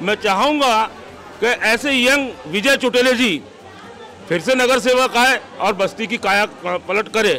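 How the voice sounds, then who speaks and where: With crowd noise behind him, a high-pitched man uses a raised, projected voice at very even loudness. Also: ordinary pitch variation. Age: 60s. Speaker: local resident interviewed. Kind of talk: street vox pop interview.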